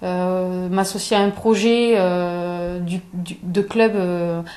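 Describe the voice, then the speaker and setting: With fairly even intonation, a woman's voice has a dark, mellow tone. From southern France, Aveyron (Espalion). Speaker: athlete. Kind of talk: interview. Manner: halting, many fillers and repetitions.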